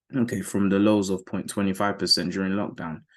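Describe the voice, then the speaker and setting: In a British accent, a man speaks at a fairly quick pace and a fairly low pitch against a quiet background. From UK. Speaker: forex trading educator. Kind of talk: market analysis tutorial. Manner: casual, conversational.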